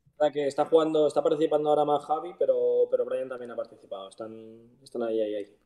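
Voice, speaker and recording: A man talks at a very fast pace with hardly any pauses. The background is quiet. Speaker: professional footballer; guest. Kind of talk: casual interview. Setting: live stream. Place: home room. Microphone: video call.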